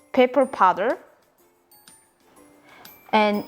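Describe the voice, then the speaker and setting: With music in the background, a woman speaks in a Korean accent. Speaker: home cooking video host. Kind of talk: casual cooking tutorial to camera.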